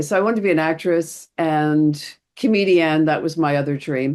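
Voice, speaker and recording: A woman speaks with an American accent at a very deep, low pitch. The background is quiet. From US East Coast. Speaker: therapist. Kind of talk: podcast interview.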